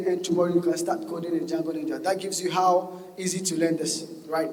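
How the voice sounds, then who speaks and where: A man with a high pitch speaks fairly quickly, with noticeable background noise and audible room echo. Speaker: software engineer giving a conference talk. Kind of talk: conference talk. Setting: stage with audience. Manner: fast; animated.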